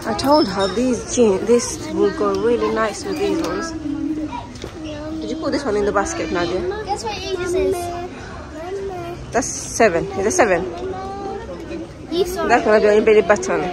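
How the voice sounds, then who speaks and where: Crowd noise fills the background as a woman talks at a fairly slow pace. She leaves long, frequent pauses, and the sound is dry with no echo. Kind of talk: casual vlog chat. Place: shop. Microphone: phone near.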